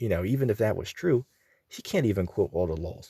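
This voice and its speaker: A dark, mellow voice with vocal fry and very wide pitch swings moves at a moderate pace in a dry, close sound with no echo. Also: man. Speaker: religious commentator. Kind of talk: casual religious commentary. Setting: out and about. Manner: informal, many filler words.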